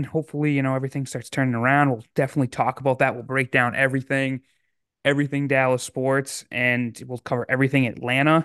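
A man with an ordinary speaking voice talks at a medium pitch and a fairly quick pace. The sound is dry and close with no echo, over a quiet background. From Massachusetts. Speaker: sports podcast host. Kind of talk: casual chat.

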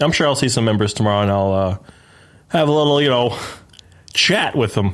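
At a fairly quick pace, a man with a medium pitch talks in an animated tone, using lively intonation and very even loudness. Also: very clean recording, silent background. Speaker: podcast host. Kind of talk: casual chat. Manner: profane, animated.

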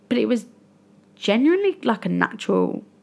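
The recording is very clean and the background silent. A woman talks at a moderate speed. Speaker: podcast host. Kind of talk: solo podcast monologue, casual and confessional. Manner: chatty, emotional, slightly rambling.

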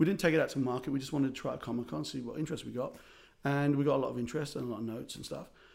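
A man speaks at a very fast pace in a fairly high pitch with vocal fry. His intonation is fairly even. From South Africa, Irish family. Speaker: film writer and director, former stand-up comedian. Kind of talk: casual interview chat. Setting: recording studio. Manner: hesitant, many fillers.

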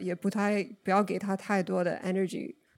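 A woman with an English accent speaks in a dark, mellow tone. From US, Oregon. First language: English (speaking Chinese). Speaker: podcast guest sharing mental health experience. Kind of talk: casual conversational interview. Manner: halting, with frequent fillers.

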